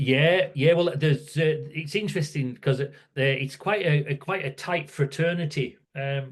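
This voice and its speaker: A man with a northern English accent speaks at a moderate pace in a fairly high, somewhat breathy voice. His intonation is fairly even, and he hardly pauses. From northern England, near Scottish border. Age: 60s. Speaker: workplace safety campaigner. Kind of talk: podcast interview.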